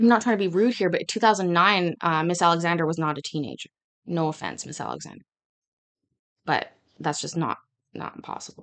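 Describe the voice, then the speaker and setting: An animated woman's voice with vocal fry, fairly low pitch and ordinary pitch variation, at a fairly quick pace broken by long, frequent pauses. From Scotland. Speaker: streamer reacting to court hearings. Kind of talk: live reaction commentary. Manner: fast.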